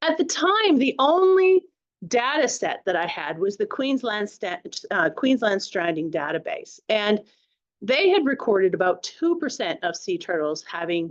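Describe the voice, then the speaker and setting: The woman's pitch swings very widely. She keeps a moderate pace. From Canada. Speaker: marine scientist. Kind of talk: public lecture. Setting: talk with live audience. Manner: hesitant, with fillers and restarts.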